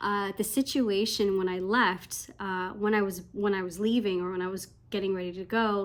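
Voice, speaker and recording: On a very clean recording with a silent background, a woman mumbles at a moderate pace, her medium pitch showing ordinary variation. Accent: Canadian. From Canada. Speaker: English teacher abroad. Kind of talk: casual talk to camera. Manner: hesitant, mumbling.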